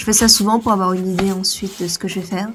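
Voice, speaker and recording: Noticeable background noise sits behind a woman speaking with monotone, flat intonation. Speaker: illustrator vlogger. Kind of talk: casual vlog talk to camera. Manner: direct.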